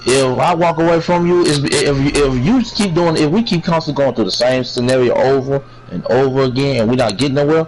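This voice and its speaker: Over noticeable background noise, a man speaks with ordinary pitch variation and very even loudness. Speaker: livestream chat participant. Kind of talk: casual chat. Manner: quieter than usual, holding back volume; repetitive, stumbling restarts.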